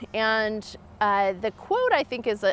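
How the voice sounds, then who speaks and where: Spoken at a fairly slow pace, the voice sounds dry with no echo. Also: woman. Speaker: interviewee. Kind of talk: interview answer. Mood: thoughtful, reflective. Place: open country.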